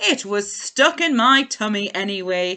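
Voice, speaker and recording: A woman does a put-on character voice at a medium pitch and a moderate pace. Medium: read story. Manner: warm, cheerful.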